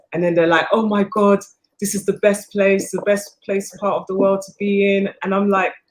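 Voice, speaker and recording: With a British accent, a woman at a medium pitch speaks at a moderate pace in a monotone, flat intonation. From England. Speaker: filmmaker. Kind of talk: panel interview. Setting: on location, not in studio.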